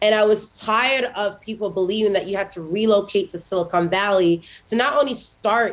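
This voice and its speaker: With ordinary pitch variation, a woman at a medium pitch keeps her speech at a moderate pace. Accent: American. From Haiti. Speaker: tech entrepreneur, summit founder. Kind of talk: interview.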